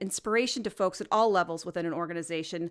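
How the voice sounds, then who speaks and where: At a fairly quick pace, a woman talks in an energetic tone with ordinary pitch variation, in a very clean recording with a silent background. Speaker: podcast host. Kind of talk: solo podcast monologue. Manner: fast.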